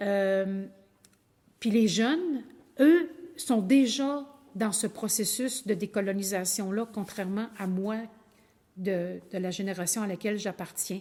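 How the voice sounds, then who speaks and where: With a Quebec accent, a woman speaks at a very slow pace and medium pitch with long, frequent pauses, a dark, mellow tone, and ordinary pitch variation. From Quebec (Innu community, Lac-Saint-Jean region). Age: 60s. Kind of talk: lecture. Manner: halting.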